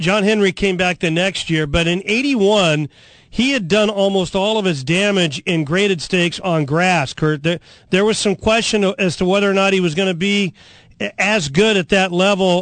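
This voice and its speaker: A man speaks at a moderate pace in a high pitch. His pitch varies in an ordinary way against a quiet background. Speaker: radio host. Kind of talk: live radio show with guests and race talk. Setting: studio.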